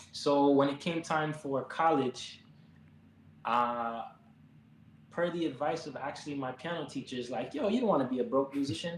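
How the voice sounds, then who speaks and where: A man speaks with an American accent at a moderate pace. His fairly high voice is broken by long, frequent pauses. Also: ordinary pitch variation. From Miami, Florida (Jamaican family). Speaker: pianist, musician. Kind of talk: interview conversation. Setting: live stream.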